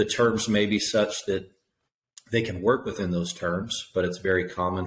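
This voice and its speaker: A man with a Tennessee accent speaks at a fairly low pitch with fairly even intonation. He sounds somewhat breathy and keeps a moderate pace. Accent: Southern US (Tennessee). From East Tennessee. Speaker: factoring company owner. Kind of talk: interview.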